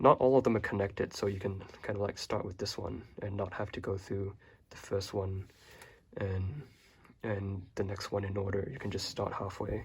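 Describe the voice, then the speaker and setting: In a very clean recording with a silent background, a man talks at a moderate pace with a relaxed tone, fairly even intonation, a fairly low pitch and a somewhat breathy quality. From Hong Kong. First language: Chinese (Cantonese). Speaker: YouTuber. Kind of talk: casual show-and-tell. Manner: relaxed, casual with hesitations.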